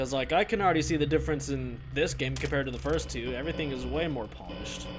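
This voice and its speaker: A man talks very fast with music playing in the background. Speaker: gaming youtuber. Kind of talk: let's play commentary. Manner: loud; casual.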